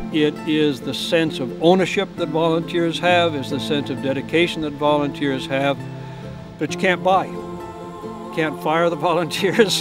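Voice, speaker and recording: A fairly slow pace and lively intonation, with music in the background. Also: man. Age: 70s. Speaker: trail volunteer. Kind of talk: documentary interview answer.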